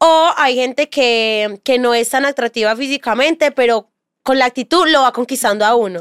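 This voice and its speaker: A woman's high voice at a moderate pace, with ordinary pitch variation and very even loudness, dry and close with no echo on a very clean recording with a silent background. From Colombia, Medellín area (Bello). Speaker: content creator, model. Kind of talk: casual interview chat.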